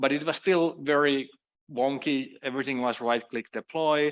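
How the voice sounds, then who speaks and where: A man with a Finnish accent, medium pitch, fairly even intonation and moderate pace, against a quiet background. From Finland. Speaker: cloud security consultant. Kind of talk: conference talk.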